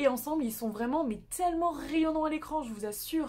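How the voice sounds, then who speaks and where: A woman with a French accent talks very fast in an animated tone. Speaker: YouTuber reviewing Korean dramas. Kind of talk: casual video review.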